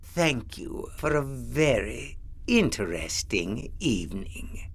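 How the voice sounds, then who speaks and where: A man talks in a put-on character voice at a very slow pace. Background noise is clearly audible. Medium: read story. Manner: sly, playful.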